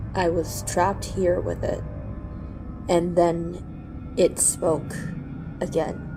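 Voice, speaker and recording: A woman at a very slow pace with long, frequent pauses, music playing in the background. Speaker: storyteller / narrator. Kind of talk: horror story narration. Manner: halting, stammering in tense scenes.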